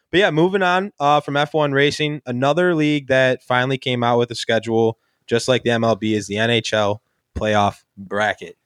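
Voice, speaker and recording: An unremarkable speaking voice, this man's has an American accent and a medium pitch. He moves at a fairly quick pace with lively intonation. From Buffalo area, western New York. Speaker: sports podcast host. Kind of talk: casual chat.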